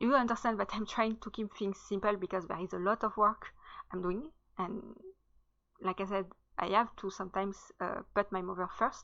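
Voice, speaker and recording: A woman with a French accent speaks at a medium pitch and a moderate pace. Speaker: writer and content creator. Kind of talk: casual channel introduction. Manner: hesitant, many fillers.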